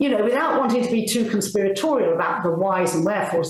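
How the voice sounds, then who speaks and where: Noticeable background noise and audible room echo surround a woman's voice. She speaks at a fairly high pitch with lively intonation. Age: 70s. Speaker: retired paediatrician. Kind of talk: interview conversation.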